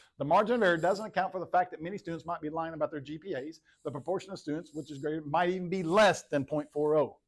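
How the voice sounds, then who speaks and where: A man's high voice at a very fast pace, with ordinary pitch variation, hardly any pauses and big swings in loudness. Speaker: high school statistics teacher. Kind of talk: classroom lecture. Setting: classroom.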